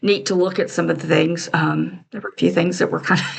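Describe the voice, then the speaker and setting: A woman's voice with vocal fry. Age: 60s. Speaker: crafting vlogger. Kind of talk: casual chat. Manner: rambling, hesitant with many ums.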